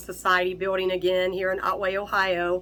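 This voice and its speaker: A woman speaks in a bright, sharp tone. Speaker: local news reporter. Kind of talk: event introduction to camera.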